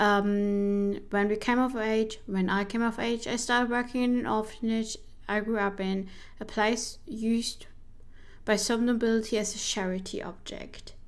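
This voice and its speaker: A woman with a non-native accent speaks at a fairly high pitch and a moderate pace. Her intonation is monotone and flat, with audible room echo. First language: not English. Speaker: vtuber streamer playing a solo journaling RPG. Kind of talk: game playthrough narration, reading her journal entries. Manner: casual, halting with self-corrections.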